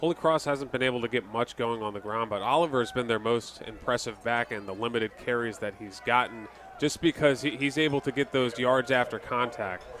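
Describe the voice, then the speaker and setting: With hardly any pauses, a man talks in an ordinary speaking voice, medium in pitch with ordinary pitch variation. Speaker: color commentator and sideline interviewer. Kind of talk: sports color commentary and interview questions.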